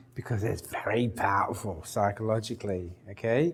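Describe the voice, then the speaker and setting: A man's moderately paced speech carries audible echo from the room. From Nigeria then England. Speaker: clinical psychologist, workshop leader. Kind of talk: workshop lecture.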